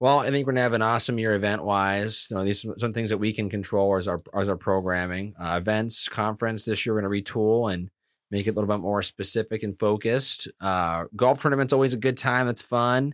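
With an American accent, a man talks at a fairly low pitch and a fairly quick pace, with hardly any pauses. His intonation stays fairly even on a very clean recording with a silent background. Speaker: president and CEO, podcast co-host. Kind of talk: casual chat. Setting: studio.

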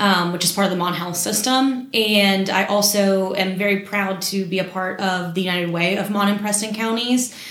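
Over noticeable background noise and audible room echo, a woman of medium pitch talks at a moderate pace with fairly even intonation and hardly any pauses. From West Virginia, Morgantown. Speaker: community relations manager at a bank. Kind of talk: casual interview.

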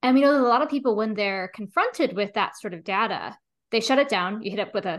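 Against a quiet background, a woman with an unremarkable speaking voice talks at a fairly high pitch. Her intonation is lively. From US (Pennsylvania). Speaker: statistician and co-author. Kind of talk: interview conversation.

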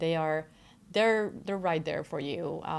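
With a Spanish accent, a woman speaks at a moderate pace in a very deep, low pitch. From Mexico, Querétaro. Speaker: doctoral student. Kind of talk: interview. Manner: hesitant, many fillers.

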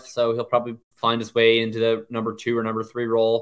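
A man's normal speaking voice in a Canadian accent, medium in pitch, at a moderate pace. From Canada. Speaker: fantasy football analyst. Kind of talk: casual chat.

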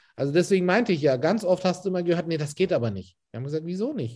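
Very clean audio against total silence, with a dark, mellow tone. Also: man. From Turkey, Istanbul. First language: Turkish (speaking German). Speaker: catering and food events entrepreneur. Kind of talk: casual interview. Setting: office.

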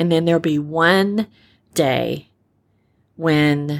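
The woman's voice comes through on a very clean recording, silent background. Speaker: podcast host and storyteller. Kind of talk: inspirational monologue.

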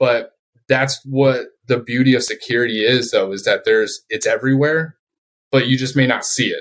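With an American accent, a man speaks in a plain, everyday voice at medium pitch. He keeps a moderate pace and fairly even intonation. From Colorado, US. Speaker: security company sales manager, Navy veteran. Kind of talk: interview.

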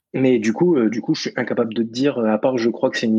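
A man's voice has a dark, mellow tone. His intonation is fairly even. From New Caledonia, Nouméa. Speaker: fishing and hunting website creator. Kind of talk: casual chat. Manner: hesitant, many fillers.

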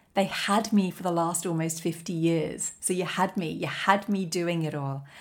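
An unremarkable speaking voice, this woman's is fairly low in pitch with fairly even intonation, delivered at a fairly slow pace. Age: 40s. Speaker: life coach podcast host. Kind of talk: solo motivational monologue.

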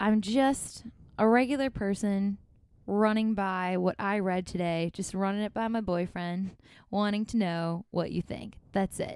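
In a very clean recording with a silent background, a woman with an unremarkable speaking voice talks at medium pitch and a fairly slow pace with fairly even intonation. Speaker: podcast host and musician. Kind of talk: casual conversation. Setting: quarantine location in Minneapolis.

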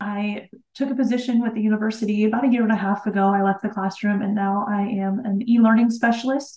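Very fast with hardly any pauses, a woman's somewhat breathy voice sits fairly high and keeps a monotone, flat intonation. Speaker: instructional designer. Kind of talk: interview conversation.

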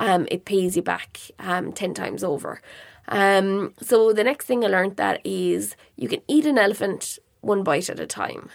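Here is a woman with an Irish accent at a fairly slow pace. The recording is very clean, with a silent background. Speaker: podcast host and online marketing educator. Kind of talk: solo podcast monologue. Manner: casual, conversational.

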